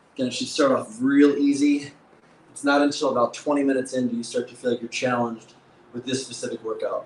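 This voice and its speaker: A man talks at a very fast pace in a medium pitch, flat and monotone, with big swings in loudness. There is audible room echo and light background noise. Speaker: fitness coach. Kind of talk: live workout instruction. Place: gym.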